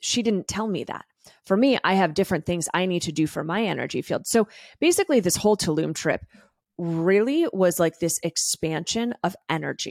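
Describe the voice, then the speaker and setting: A woman with a plain, everyday voice speaks at a moderate pace, with ordinary pitch variation. The recording is very clean with a silent background, and the sound is dry and close with no echo. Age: 30s. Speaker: podcast host and wellness coach. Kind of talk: solo podcast monologue. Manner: casual, conversational with tangents.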